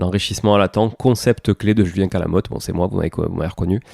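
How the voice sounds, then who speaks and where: A man with a southern French accent talks fairly quickly in a dark, mellow tone with fairly even intonation, recorded very cleanly against a silent background with a dry, close sound and no echo. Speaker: podcast host, property investor and author. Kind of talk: solo podcast recap. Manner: hesitant, many fillers.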